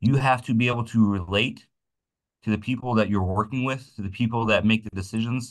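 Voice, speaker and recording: Against a quiet background, a man speaks at a moderate pace with a fairly low pitch and fairly even intonation. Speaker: umpire and umpiring clinic instructor. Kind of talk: instructional clinic talk. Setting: video call. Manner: loud; casual with many false starts.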